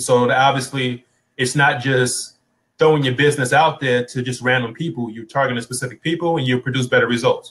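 In an American accent, a man with a plain, everyday voice speaks at a fairly quick pace, using medium pitch and fairly even intonation. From United States. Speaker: online business coach and blogger; online business coach, blogger. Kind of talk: live interview. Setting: live video stream on Facebook. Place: home room. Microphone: video call.

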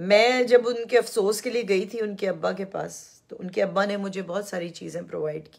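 A plain, everyday voice from a woman, medium-pitched with ordinary pitch variation, at a moderate pace, with big swings in loudness. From Pakistan. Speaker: YouTube commentator. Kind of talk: live-stream monologue. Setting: live stream.

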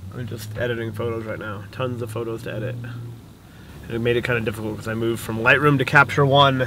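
Over noticeable background noise, a man talks at a very fast pace in a monotone, flat intonation, the sound dry with no echo. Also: hardly any pauses. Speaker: vlogger. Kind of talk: casual vlog chat. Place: car. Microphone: phone near.

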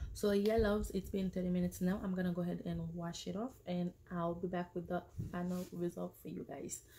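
The delivery is fairly quick, with monotone, flat intonation. The voice has a dark, mellow tone and sounds somewhat breathy. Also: woman, fairly low pitch for a woman. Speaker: beauty vlogger. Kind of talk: hair care tutorial. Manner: casual, hesitant with many fillers. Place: home room. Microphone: phone near.

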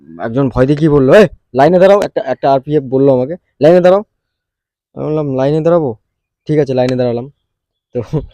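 A man's fairly high voice with a dark, mellow tone, ordinary pitch variation and a dry, close sound with no echo. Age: 20s. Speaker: vlogger and salesperson. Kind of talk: casual vlog storytelling.

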